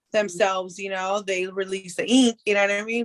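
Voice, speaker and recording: A woman talks at a moderate pace with fairly even intonation, in a dry, close sound with no echo. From San Diego and Tijuana border area. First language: Spanish. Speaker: rapper. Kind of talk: casual interview.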